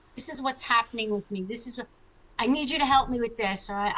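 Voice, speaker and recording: The voice has a bright, sharp tone and speaks with an American accent. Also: woman. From US Northeast (Long Island, New York). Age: 60s. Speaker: chiropractor and author. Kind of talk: interview testimony. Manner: animated.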